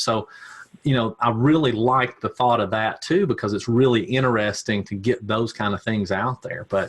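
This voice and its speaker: A man with a Tennessee accent at a moderate pace. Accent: Southern US (Tennessee). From US South, Tennessee. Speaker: ad agency owner, digital marketer. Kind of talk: podcast interview. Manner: halting, many repeats and fillers.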